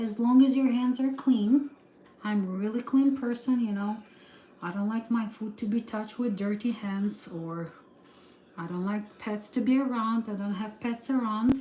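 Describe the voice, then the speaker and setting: Speaking at a moderate pace with a Slavic accent, a woman uses a fairly high pitch and fairly even intonation. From Ukraine. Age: 30s. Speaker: vlogger. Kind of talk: cooking livestream. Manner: halting.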